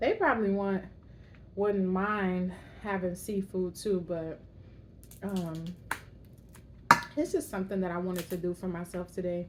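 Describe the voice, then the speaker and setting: A woman at medium pitch talks at a moderate pace with fairly even intonation and long, frequent pauses, against noticeable background noise. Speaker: YouTuber, mom. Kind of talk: mukbang casual chat while eating. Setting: at home.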